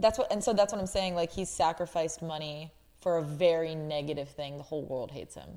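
A woman with a dark, mellow tone and fairly low pitch speaks at a very fast pace, with ordinary pitch variation and big swings in loudness. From Canada. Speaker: podcast host. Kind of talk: casual chat.

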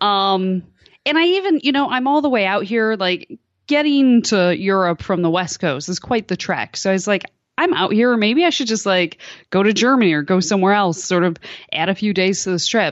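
A woman speaks in an unremarkable speaking voice at a moderate pace. Her intonation is lively, and her loudness stays very even. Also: medium pitch for a woman. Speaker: soccer journalist. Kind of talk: interview about soccer. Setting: remote call from France.

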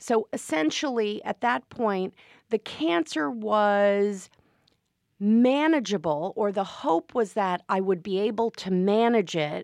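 With a normal speaking voice at a medium pitch, a woman talks at a fairly slow pace with lively intonation. The sound is dry and close with no echo, over a quiet background. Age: 50s. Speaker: wealth management executive. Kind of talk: interview. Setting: studio.

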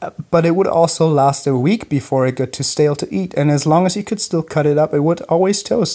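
A man with a fairly high pitch, a dark, mellow tone and ordinary pitch variation, in a German accent at a fairly quick pace. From Germany, Munich. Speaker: listener sending audio question. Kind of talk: recorded voice message. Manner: animated.

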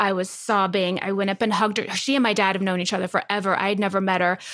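A woman with an American accent speaks at a very fast pace and medium pitch, with hardly any pauses and very even loudness, over noticeable background noise. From Texas. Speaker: actress and podcast co-host. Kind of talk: casual chat.

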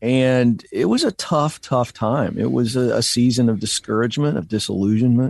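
Against a quiet background, a plain, everyday voice moves at a moderate pace with ordinary pitch variation and hardly any pauses. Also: man, medium pitch for a man. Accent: American. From Virginia, Hampton Roads. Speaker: career coach and author. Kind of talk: interview. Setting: remote.

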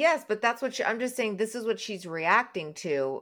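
In a very clean recording with a silent background, a woman with a plain, everyday voice speaks at a moderate pace with lively intonation. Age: 50s. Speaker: podcast host. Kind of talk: casual chat.

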